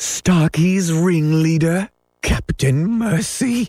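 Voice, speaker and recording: A man's raspy, put-on character voice, high-pitched and very slow. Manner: whimpering.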